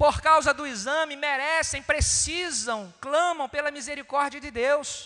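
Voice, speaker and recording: In a raised, projected voice with a Brazilian accent, a man at an extremely high pitch speaks at a fairly slow pace with hardly any pauses, ordinary pitch variation and big swings in loudness. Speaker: preacher. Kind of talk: sermon on communion, Bible reading, exhortation. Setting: church. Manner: earnest, pastoral, rhetorical repetition; formal, measured, direct address to congregation.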